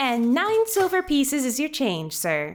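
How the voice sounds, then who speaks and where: In a put-on character voice, a female-sounding speaker talks at a moderate pace with a high pitch and very wide pitch swings. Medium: audio drama. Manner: polite, efficient.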